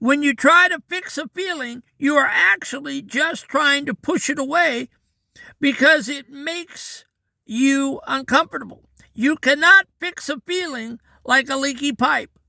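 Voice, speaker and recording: An extremely high-pitched male voice, raised and projected, bright and sharp in tone, with ordinary pitch variation, a fairly slow pace and a dry, close sound with no echo. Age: 60s. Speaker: daily devotional podcaster. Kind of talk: devotional talk. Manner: conversational, earnest.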